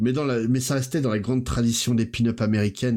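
A man talks at a fairly quick pace in an unremarkable speaking voice. His pitch varies in an ordinary way, and the recording is very clean with a silent background. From Portuguese heritage, grew up in France. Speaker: podcast guest, pop-culture commentator. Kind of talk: casual chat.

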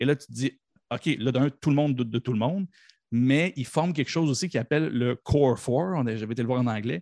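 Against a quiet background, a man speaks at a fairly quick pace and medium pitch with ordinary pitch variation. His dark, mellow tone sounds dry and close with no echo. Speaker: podcast guest, pop culture fan. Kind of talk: casual chat.

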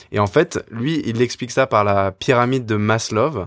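A man with a plain, everyday voice speaks at a fairly slow pace, medium in pitch with ordinary pitch variation. The sound is dry and close with no echo, on a very clean recording with a silent background. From France. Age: 20s. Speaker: podcast co-host. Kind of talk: casual discussion.

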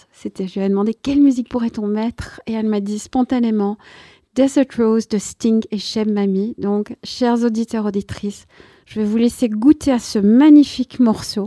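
Fairly high-pitched with a dark, mellow tone, a woman speaks at a fairly slow pace with fairly even intonation, the sound dry and close with no echo on a very clean recording with a silent background. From grew up abroad as expatriate child. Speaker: radio host. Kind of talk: radio interview.

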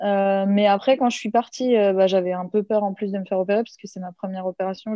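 A woman speaks at a medium pitch. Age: 20s. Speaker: handball player. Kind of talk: interview.

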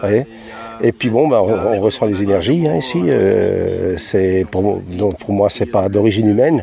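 Over music in the background, a man speaks in a fairly low pitch with ordinary pitch variation. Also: fairly slow pace. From southern Alsace. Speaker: visitor at a crop circle. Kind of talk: vox pop interview. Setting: outdoors in a wheat field.

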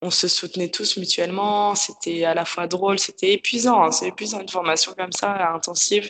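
The speech runs at a moderate pace with hardly any pauses. Its intonation stays fairly even. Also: woman, medium pitch for a woman. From France, Paris. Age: 20s. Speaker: yoga teacher. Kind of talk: personal testimony interview. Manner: calm, detached. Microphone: poor sound quality.

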